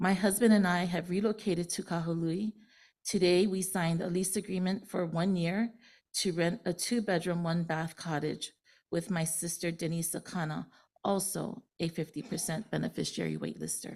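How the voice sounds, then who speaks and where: With a Hawaiian accent, a woman speaks at a fairly low pitch, moderate pace and fairly even intonation, sounding somewhat breathy in a very clean recording with a silent background. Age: 60s. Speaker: public testifier, fire survivor. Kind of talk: public testimony. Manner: halting, many fillers.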